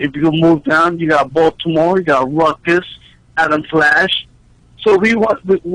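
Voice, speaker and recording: Over noticeable background noise, the voice keeps very even loudness, with ordinary pitch variation and a fairly slow pace. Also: man, fairly high pitch for a man. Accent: American. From New York. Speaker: professional wrestler. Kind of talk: interview. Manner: animated.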